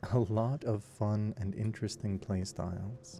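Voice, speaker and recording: A man speaks at a fairly slow pace. His tone is dark and mellow, calm and gentle. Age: 20s. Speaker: voice actor and gaming sleep-video creator. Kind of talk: calm gameplay narration for sleep. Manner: calm, gentle.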